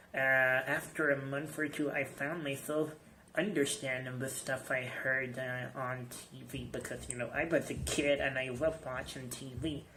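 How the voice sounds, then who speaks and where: Moderate pace and fairly even intonation from a man of medium pitch, with audible room echo. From Iran. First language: Persian. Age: 20s. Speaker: English teacher. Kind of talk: personal video message. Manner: halting, many fillers.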